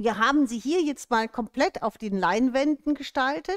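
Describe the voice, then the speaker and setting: With lively intonation and a high pitch, a woman speaks at a fairly slow pace over a quiet background. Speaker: shop host presenting products. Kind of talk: livestream presentation. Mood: cheerful, welcoming. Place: studio. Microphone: headset.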